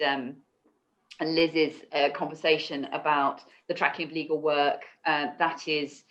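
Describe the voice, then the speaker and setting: In a British accent, a woman with a very deep, low pitch speaks with monotone, flat intonation. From UK. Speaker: law firm knowledge executive. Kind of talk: panel discussion. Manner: halting, many repetitions and fillers.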